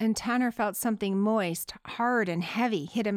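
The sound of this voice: Unforced reading, with pitch moving in a typical way.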